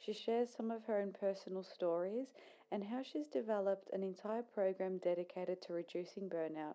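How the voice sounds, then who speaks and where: At a fairly quick pace, a woman speaks with a medium pitch, a dark, mellow tone and ordinary pitch variation. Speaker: podcast host; social worker. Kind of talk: podcast intro.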